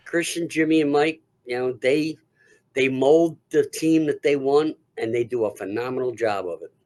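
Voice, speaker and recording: A man with an unremarkable speaking voice talks at a moderate pace in a fairly high pitch with ordinary pitch variation. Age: 60s. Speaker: haunted attraction actor. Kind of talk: casual interview.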